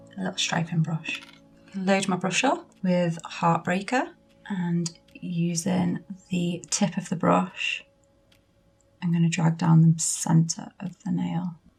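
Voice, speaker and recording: The speaker has a British accent and talks at a very slow pace. Long, frequent pauses break up the speech. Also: woman. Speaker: nail artist. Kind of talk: tutorial. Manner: casual.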